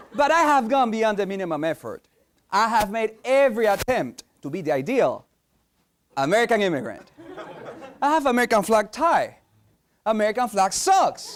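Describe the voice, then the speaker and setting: Speaking at a moderate pace with long, frequent pauses, a man with a slight Spanish accent uses a high voice and very wide pitch swings. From Peru. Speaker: competitive speaker. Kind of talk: competition speech.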